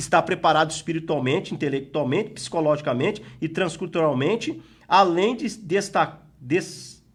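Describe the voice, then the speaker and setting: Using lively intonation, a man with an Espírito Santo accent speaks at a fairly slow pace. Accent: Espírito Santo accent, sounds like arguing. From Espírito Santo, Brazil. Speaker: pastor and Bible school teacher. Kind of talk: Bible lesson.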